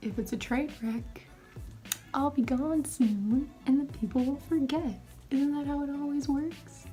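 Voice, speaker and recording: Whispering at a fairly slow pace, a woman speaks over music in the background. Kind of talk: casual talk to camera, makeup tutorial. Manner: whispered.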